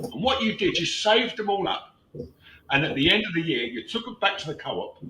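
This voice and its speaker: Through noticeable background noise, a man with a British accent speaks in a raised, projected voice at a fairly quick pace, with very wide pitch swings. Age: 70s. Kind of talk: casual chat. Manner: halting.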